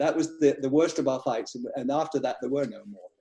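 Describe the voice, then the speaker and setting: The voice has a dark, mellow tone and an English accent. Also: man. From England. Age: 60s. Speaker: financial divorce consultant. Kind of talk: casual panel discussion.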